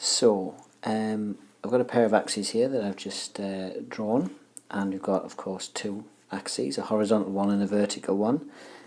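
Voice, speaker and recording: A soft-spoken voice at a moderate pace. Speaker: maths teacher. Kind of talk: tutorial.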